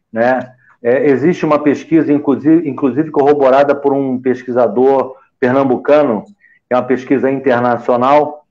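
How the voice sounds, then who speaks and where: An unremarkable speaking voice from a man, medium in pitch, with fairly even intonation at a moderate pace. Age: 60s. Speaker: physician. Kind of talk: panel discussion.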